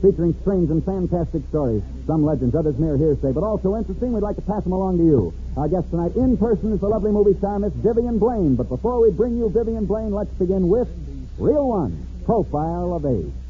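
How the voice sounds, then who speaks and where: A man speaks very fast. Music can be heard behind him. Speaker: sportscaster. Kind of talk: 1940s radio sports show host. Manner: dramatic, emotional, with dramatic pauses.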